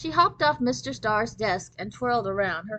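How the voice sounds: Here we have a natural reading voice.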